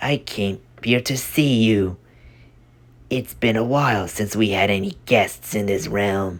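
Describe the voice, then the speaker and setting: A put-on character voice sits at a low pitch. It moves along at a fairly slow pace. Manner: mocking.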